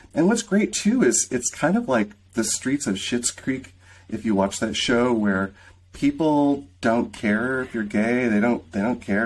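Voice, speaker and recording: Speaking at a moderate pace with a Midwestern American accent, a man is heard in a very clean recording with a silent background. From US Midwest, rural southeastern Michigan. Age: 50s. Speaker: film creator and director. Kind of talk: interview.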